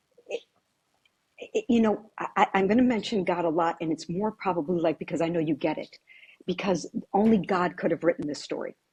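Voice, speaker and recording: The sound is dry and close, with no echo. A woman with an American accent speaks at a fairly quick pace in a fairly low, somewhat breathy voice. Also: ordinary pitch variation. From US Virgin Islands (Saint Croix). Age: 60s. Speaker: real estate agent. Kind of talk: interview. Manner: repetitive, stammering restarts.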